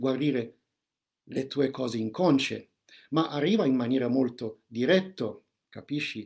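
This man has a dark, mellow tone at medium pitch. His intonation is lively and his pace moderate. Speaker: holistic counselor and shaman giving a seminar. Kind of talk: live seminar with spiritual and meditative content. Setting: live online video stream.

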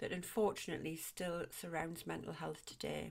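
A woman is speaking here. Her pace is fairly quick. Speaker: podcast host. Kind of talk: podcast intro read.

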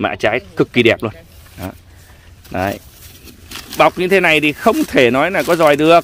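A man with a fairly high pitch, vocal fry and very wide pitch swings speaks at a fairly slow pace, leaving long, frequent pauses. The sound is dry with no echo, with light background noise. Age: 40s. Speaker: custard apple farmer. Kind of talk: casual orchard tutorial. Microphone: phone near.

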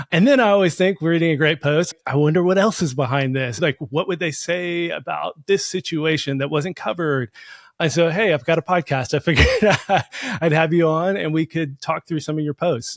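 Against a quiet background, a man talks at a fairly quick pace with ordinary pitch variation and a dry sound with no echo. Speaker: podcast host. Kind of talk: interview host intro and question. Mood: friendly, upbeat. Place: home room. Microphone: studio mic.

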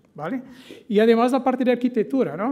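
Against a quiet background, a man with a Portuguese accent talks with fairly even intonation. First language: Portuguese (speaking Spanish). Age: 40s. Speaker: tech company executive; conference presenter. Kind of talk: conference presentation. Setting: stage with audience. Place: hall.

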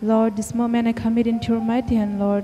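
Flat, monotone female delivery at a moderate pace, with faint music in the background. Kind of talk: spoken prayer. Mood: reverent, gentle. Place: church. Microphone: handheld.

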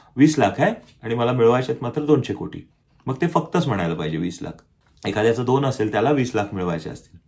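On a very clean recording with a silent background, a man speaks at a medium pitch. He sounds somewhat breathy, with lively intonation. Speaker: self-help YouTuber. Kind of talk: motivational talk to camera. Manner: conversational.

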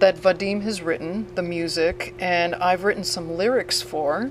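A woman talks at a moderate pace with ordinary pitch variation. The sound is dry with no echo, over light background noise. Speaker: interviewee. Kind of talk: interview answer. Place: bar. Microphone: handheld.

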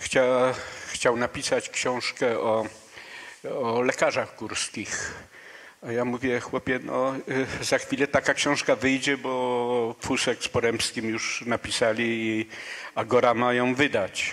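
Very slow pace with monotone, flat intonation. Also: man, medium pitch for a man. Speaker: veteran mountaineer and expedition leader; guest. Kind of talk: stage interview. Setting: stage with audience. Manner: halting. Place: stage. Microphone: handheld.

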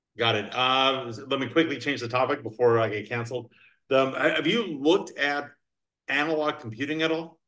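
A man speaks with an American accent and a bright, sharp tone. His pitch varies in an ordinary way over a quiet background. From Virginia. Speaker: podcast host and crypto attorney; podcast host, crypto attorney. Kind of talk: casual chat. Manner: fast talker. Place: home room. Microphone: video call.

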